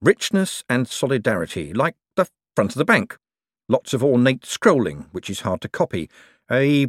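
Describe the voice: This is plain reading aloud with lively intonation over a quiet background.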